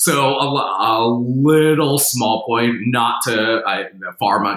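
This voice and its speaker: Noticeable background noise runs under a man speaking with an American accent. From New Jersey. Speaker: veterinarian, professor. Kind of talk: expert interview.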